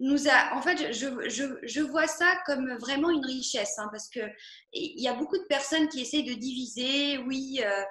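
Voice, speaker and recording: With a bright, sharp tone, a woman speaks fairly slowly at a high pitch with ordinary pitch variation, and the room echo is audible. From Algeria, Oran. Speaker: singer-songwriter. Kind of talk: interview. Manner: halting, many fillers.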